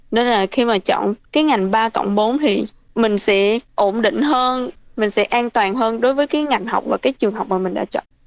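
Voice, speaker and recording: A plain, everyday voice: a woman at a fairly high pitch with ordinary variation, very even loudness and a moderate pace, in a dry, close sound with no echo. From Vietnam (Bình Thuận). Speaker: vocational student. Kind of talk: interview.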